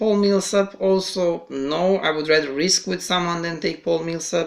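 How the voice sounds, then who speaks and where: At a moderate pace, a man with a high pitch talks with fairly even intonation. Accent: non-native. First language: not English. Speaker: fantasy basketball podcast host. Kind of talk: casual podcast chat. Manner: halting, many fillers and repetitions.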